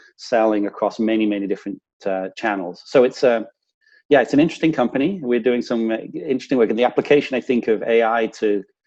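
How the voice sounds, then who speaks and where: A man speaks with a medium pitch and a dark, mellow tone. The background is quiet. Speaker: business executive. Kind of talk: interview. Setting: remote call.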